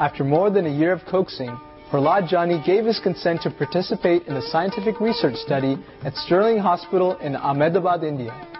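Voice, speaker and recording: Over music in the background, a man with a high pitch speaks at a fairly quick pace. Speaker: TV show host. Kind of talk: TV documentary narration.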